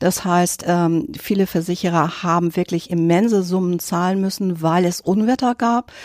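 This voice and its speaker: A woman with a medium pitch speaks at a fairly slow pace with ordinary pitch variation. It is an ordinary speaking voice. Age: 60s. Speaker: insurance specialist. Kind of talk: expert interview.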